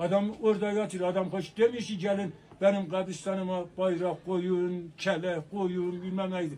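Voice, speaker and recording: A man talks at a fairly slow pace in a high pitch. He hardly pauses, and there is light background noise. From Turkey, Erzurum; Turkey. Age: 70s. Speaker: elderly man interviewed; interviewee. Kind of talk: street interview; street interview answer. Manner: animated. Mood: earnest, emphatic. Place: shop.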